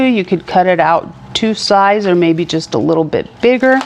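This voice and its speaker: A woman at a medium pitch and a fairly slow pace, over noticeable background noise. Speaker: church craft instructor. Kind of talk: tutorial. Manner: casual, hesitant with fillers.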